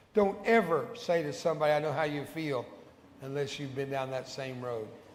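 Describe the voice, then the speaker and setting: There is audible room echo as a man with an American accent speaks at a fairly high pitch. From Texas. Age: 70s. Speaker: evangelist. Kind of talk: sermon. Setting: church. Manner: animated.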